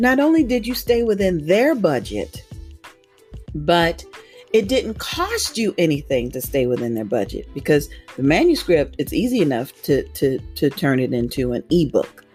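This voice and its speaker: Music plays behind a woman's voice. She speaks at a moderate pace. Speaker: audiobook narrator and evangelist. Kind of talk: interview answer.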